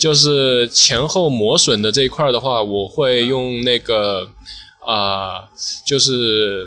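The man's pace is very slow. His pitch sits in the medium range and varies in an ordinary way. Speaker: sneaker restorer. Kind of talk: casual chat. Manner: hesitant.

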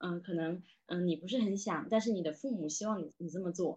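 Lively intonation marks this woman's speech in a Southern Min accent. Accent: noticeable Southern Min accent in Mandarin. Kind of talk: casual conversation, podcast discussion.

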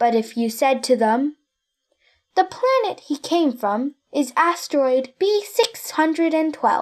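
A woman talks at a very slow pace in a high pitch. Her pitch swings very widely. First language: Chinese. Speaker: children's story reader. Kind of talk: bilingual reading aloud.

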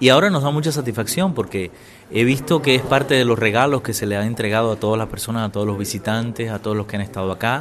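A man talks at a very fast pace with a medium pitch and ordinary variation. Noticeable background noise runs underneath. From Cuba. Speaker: former radio journalist and Spanish teacher. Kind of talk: interview testimony. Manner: hesitant, many fillers.

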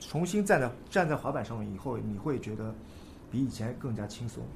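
With audible room echo, a man talks at a fairly quick pace, his voice showing vocal fry and very wide pitch swings. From China, Nanjing. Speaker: skateboarder. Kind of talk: casual chat.

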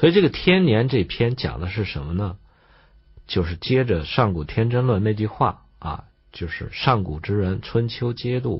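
Somewhat breathy and fairly low-pitched, a man speaks fairly slowly with lively intonation. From China. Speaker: traditional Chinese medicine teacher. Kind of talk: lecture.

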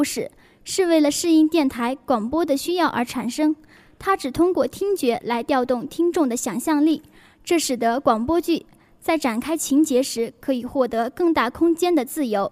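At a moderate pace with ordinary pitch variation, the voice comes through a very clean recording with a silent background. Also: woman. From northern China. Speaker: student radio host. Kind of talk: reading out a station announcement.

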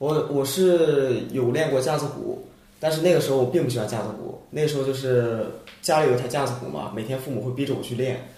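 Over noticeable background noise and audible room echo, a man talks fairly quickly at a medium pitch with fairly even intonation. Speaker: international student, rap contestant. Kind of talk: casual chat.

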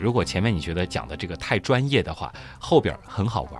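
A man is speaking. His voice has vocal fry. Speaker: podcast host. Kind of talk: explanatory casual chat.

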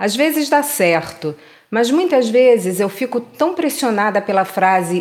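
At a fairly slow pace, a woman with a plain, everyday voice speaks with lively intonation. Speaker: poetry reader. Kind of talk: poetry reading, reading aloud a literary text. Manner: contemplative, measured, intimate.

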